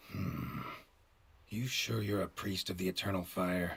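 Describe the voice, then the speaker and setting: Putting on a growling character voice with very deep, low pitch, a man delivers a deadpan tone at a moderate pace. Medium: video game. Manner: terse, dry, deadpan.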